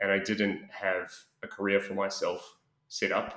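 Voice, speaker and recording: This is a man speaking with a New Zealand accent. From New Zealand, Auckland. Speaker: expat interviewee. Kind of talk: interview. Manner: halting, many fillers.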